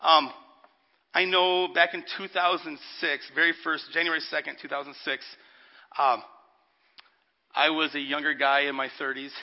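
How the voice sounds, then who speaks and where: A man talks at a very slow pace with a fairly high pitch. His intonation stays fairly even, and he takes long, frequent pauses. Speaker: pastor. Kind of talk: sermon. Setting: church with congregation. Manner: loud.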